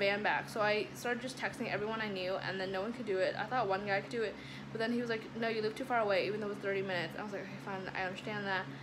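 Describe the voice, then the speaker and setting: Amid noticeable background noise and audible room echo, a woman speaks at medium pitch with ordinary pitch variation. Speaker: lifestyle vlogger. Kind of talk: casual vlog storytelling. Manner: fast; animated.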